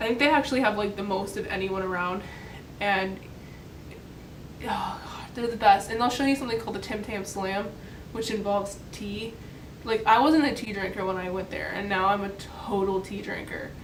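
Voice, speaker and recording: With an American accent, a woman speaks at a moderate pace and medium pitch with ordinary pitch variation, over audible room echo and noticeable background noise. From US. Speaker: vlogger, college student. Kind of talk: casual vlog talk. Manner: casual, filler-heavy.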